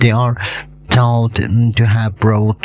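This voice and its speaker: A man speaks with a strong non-native accent over noticeable background noise. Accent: self-described heavy non-native. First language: not English. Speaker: hobbyist video creator on meteorites. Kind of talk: educational tutorial. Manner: halting with many fillers.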